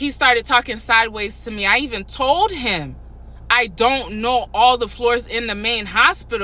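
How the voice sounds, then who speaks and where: Loud and animated in tone, a woman speaks. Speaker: hospital kitchen worker. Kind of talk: casual storytelling vlog.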